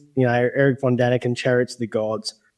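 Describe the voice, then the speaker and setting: Speaking with an Australian accent, the man keeps his voice at a medium pitch. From regional Australia. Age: 40s. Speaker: UFO witness and field investigator. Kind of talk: interview storytelling.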